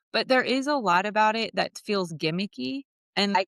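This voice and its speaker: A woman's animated, lively voice at a medium pitch and moderate pace, dry and close with no echo, against a quiet background. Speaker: end-of-life doula. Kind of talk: interview. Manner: loud.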